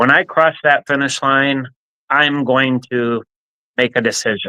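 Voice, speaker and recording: An unremarkable speaking voice with an American accent, fairly even intonation and a fairly slow pace. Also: man, medium pitch for a man. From New Jersey, central (Middlesex). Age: 60s. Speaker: nonprofit leader and kidney donor. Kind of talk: interview testimony. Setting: live stream.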